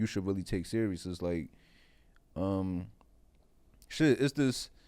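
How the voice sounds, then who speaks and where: This man speaks with a strong Philadelphia accent and a very deep, low pitch. His tone is dark and mellow. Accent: strong Philly. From West Philadelphia, US. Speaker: comedian. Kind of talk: casual chat.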